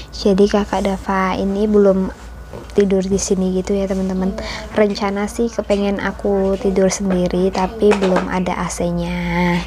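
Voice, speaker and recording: Noticeable background noise sits behind a soft-spoken woman. She uses a medium pitch and a monotone, flat intonation at a moderate pace. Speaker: homemaker vlogger. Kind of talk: vlog voiceover narration. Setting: home, recorded while kids sleep.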